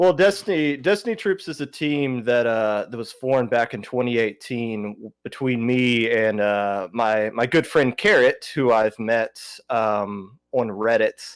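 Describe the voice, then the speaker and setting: With a Southern US accent, a man speaks at a fairly slow pace and medium pitch, hardly pausing, his intonation lively, in a very clean recording with a silent background. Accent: southern drawl. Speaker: podcaster and esports team captain. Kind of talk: casual podcast chat. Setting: livestream podcast. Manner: halting, many fillers.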